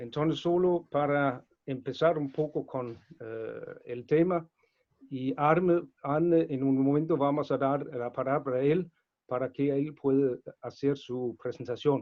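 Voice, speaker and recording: This man has a non-native accent and a fairly high pitch. He talks at a fairly slow pace. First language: not Spanish (speaking Spanish). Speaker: webinar moderator. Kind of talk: webinar introduction. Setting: online webinar. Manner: halting, with frequent fillers.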